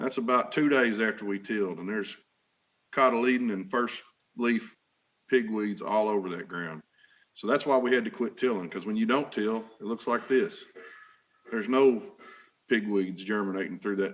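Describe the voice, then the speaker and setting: In an Arkansas accent, a man speaks with ordinary pitch variation. His speech has long, frequent pauses. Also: medium pitch for a man, moderate pace. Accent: Southern US (Arkansas). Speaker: farmer. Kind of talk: conference panel presentation. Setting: virtual meeting. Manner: casual, folksy.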